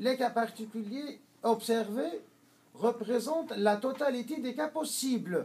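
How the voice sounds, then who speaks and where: The delivery is very slow, with long, frequent pauses. Pitch variation stays ordinary. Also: man. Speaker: Islamic teacher. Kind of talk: lecture. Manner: halting, many hesitations.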